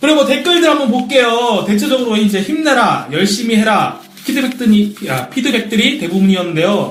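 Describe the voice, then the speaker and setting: A man with an extremely high voice talks fairly quickly with lively intonation and hardly any pauses. Room echo is audible, and background noise is noticeable. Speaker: wrestling podcast co-host. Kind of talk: casual chat.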